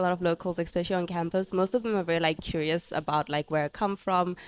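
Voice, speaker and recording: A woman with a Zimbabwean accent speaks at a very fast pace and a medium pitch. The sound is dry and close, with no echo. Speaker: international university student. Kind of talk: casual interview chat.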